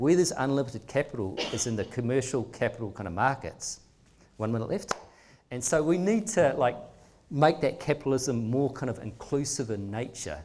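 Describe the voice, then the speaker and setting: Lively intonation marks a man with a New Zealand accent. His pace is fairly quick. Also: medium pitch for a man. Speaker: philanthropic trust leader. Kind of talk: public talk. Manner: fast; animated.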